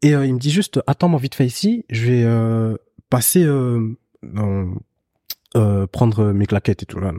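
In a dark, mellow tone, a man with medium pitch and ordinary pitch variation speaks at a fairly slow pace with long, frequent pauses, in a dry, close sound with no echo. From Belgium. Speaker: photographer. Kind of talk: casual chat.

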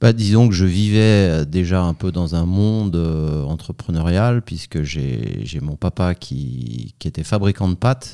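With hardly any pauses, a man speaks at a very slow pace in a very deep, low pitch. His tone is dark and mellow, and his intonation is lively. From France, Savoie. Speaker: food company CEO. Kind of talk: interview.

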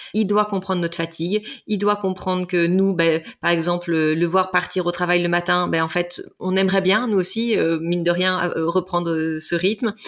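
At a moderate pace, a woman speaks in a fairly low pitch with monotone, flat intonation and very even loudness. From Brittany, France. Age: 40s. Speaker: couples relationship coach. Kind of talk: interview conversation.

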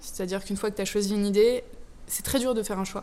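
A woman speaks in a plain, everyday voice at medium pitch with fairly even intonation. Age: 20s. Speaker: startup founder. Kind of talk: interview.

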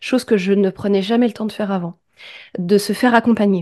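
Against a quiet background, a woman with a dark, mellow tone speaks at a medium pitch and moderate pace in a flat monotone, with a dry, close sound and no echo. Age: 30s. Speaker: podcast manager. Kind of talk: interview.

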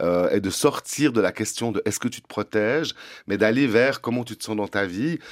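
Recorded very cleanly against a silent background, with a dry, close sound and no echo, a man speaks at a moderate pace and medium pitch, his pitch varying in an ordinary way. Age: 50s. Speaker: drag performer and prevention worker. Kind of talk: interview. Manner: halting.

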